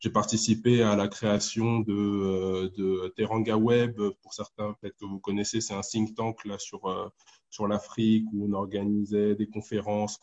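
Over a dry, close sound with no echo, a man talks at a fairly slow pace in a fairly low pitch with monotone, flat intonation. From Ivory Coast. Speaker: economics postdoctoral researcher. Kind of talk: explanatory group discussion. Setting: online group call.

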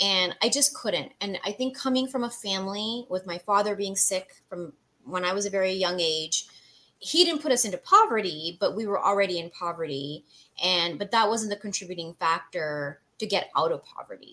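Her medium-pitched voice has a bright, sharp tone, and the woman speaks at a moderate pace with lively intonation. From Canada. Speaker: tech entrepreneur. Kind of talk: interview. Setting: video call.

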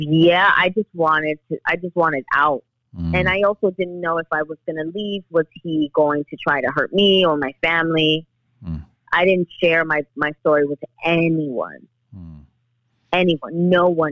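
A woman in a New York accent speaks at a moderate pace. Her pitch is fairly low and her intonation fairly even. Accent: New York City. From US Northeast, New York City (the Bronx). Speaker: actress and domestic violence activist. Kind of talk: interview.

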